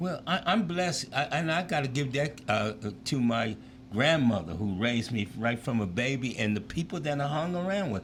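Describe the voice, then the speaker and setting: A man's medium-pitched voice with vocal fry and very wide pitch swings, at a moderate pace. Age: 70s. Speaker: former pro football player and school teacher. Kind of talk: interview chat. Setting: live show.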